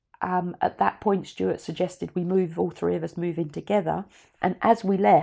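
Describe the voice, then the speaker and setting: This woman has a dark, mellow tone with some vocal fry. She talks at a moderate pace with ordinary pitch variation. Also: very clean recording, silent background. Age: 60s. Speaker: podcast host and business mentor. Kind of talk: casual personal monologue. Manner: conversational, with hesitations.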